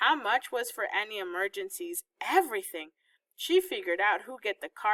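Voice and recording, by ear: This is someone reading aloud in a natural voice against a quiet background.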